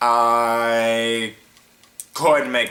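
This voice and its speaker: A man speaking, with noticeable background noise. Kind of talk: casual talk to camera.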